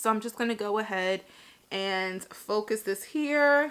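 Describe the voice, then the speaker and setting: A woman with an ordinary speaking voice talks at a medium pitch. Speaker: beauty vlogger. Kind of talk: tutorial. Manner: casual, chatty.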